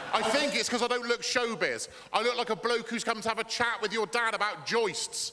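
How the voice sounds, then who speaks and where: With an English accent, a man uses a raised, projected voice at an extremely high pitch, keeping very even loudness and fairly even intonation over noticeable background noise. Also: fairly quick pace. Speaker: stand-up comedian. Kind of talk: stand-up. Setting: stage with audience. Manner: fast.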